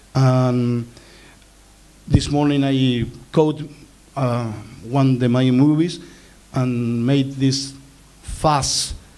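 A man's medium-pitched voice, dark and mellow in tone, at a very slow pace with fairly even intonation and long, frequent pauses. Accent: Easter Island. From Easter Island (Rapa Nui). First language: Rapa Nui. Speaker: filmmaker; speaker. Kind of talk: panel talk. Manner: halting. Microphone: handheld.

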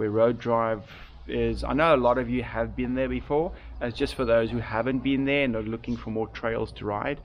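Light background noise is present. The delivery keeps a moderate pace. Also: man. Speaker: mountain biker vlogger. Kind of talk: casual vlog chat. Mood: rueful, calm. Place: garden. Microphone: phone near.

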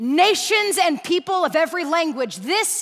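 The background is quiet. A woman is speaking. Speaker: guest preacher. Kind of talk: sermon. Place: stage. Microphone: headset.

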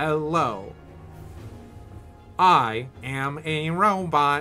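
Putting on a nasal character voice in a fairly high pitch, a man performs with clear music in the background. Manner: mechanical, monotone.

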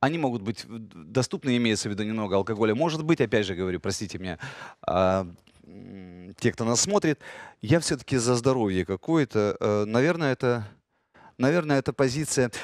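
With lively intonation and a fairly quick pace, a man speaks between long, frequent pauses, the sound dry with no echo and the background quiet. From Ukraine, Kyiv. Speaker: radio host and actor; radio host, actor. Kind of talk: casual chat. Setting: studio. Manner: animated. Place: studio. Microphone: headset.

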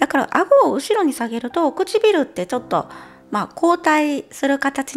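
Very wide pitch swings in a woman's voice, delivered at a moderate pace. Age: 40s. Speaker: beauty vlogger. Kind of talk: casual talk to camera. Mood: relaxed, cheerful. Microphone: lapel.

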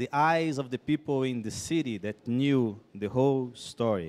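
A man with a Brazilian accent talks at a very slow pace, his medium pitch showing ordinary variation. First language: Portuguese (speaking Spanish). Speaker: missionary speaker; speaker. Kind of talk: testimony. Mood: earnest, reflective storytelling. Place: stage. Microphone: handheld.

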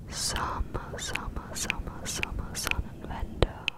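Someone whispers at a very slow pace. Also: woman. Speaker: ASMR creator. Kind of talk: ASMR whispered trigger words. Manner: repeated words whispered close to the microphone. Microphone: studio mic.

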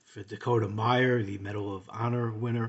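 A man speaks in a normal speaking voice at a fairly low pitch and a moderate pace. His intonation is fairly even, and the background is quiet. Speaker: product reviewer. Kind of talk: casual product review chat. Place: home room. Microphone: phone near.

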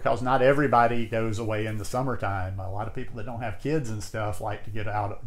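Somewhat breathy, a man rushes along at a very fast pace with hardly any pauses. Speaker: vlogger. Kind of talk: casual vlog chat. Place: home room.

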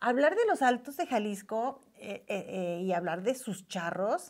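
Speaking very slowly, a woman uses a fairly high pitch that swings very widely. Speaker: YouTube host interviewer. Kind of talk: casual interview chat.

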